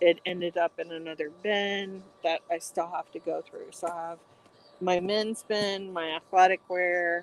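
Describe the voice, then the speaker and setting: Mumbling at a fairly slow pace, a woman talks at a medium pitch with fairly even intonation, the sound dry and close with no echo. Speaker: online reseller. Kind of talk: casual livestream chat while folding. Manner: monotone.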